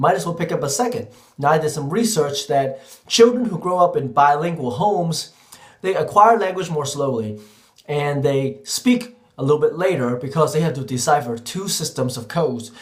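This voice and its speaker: Noticeable background noise behind a man's fairly high, lively voice, moving at a moderate speed. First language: Cantonese. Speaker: teacher. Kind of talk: vlog monologue.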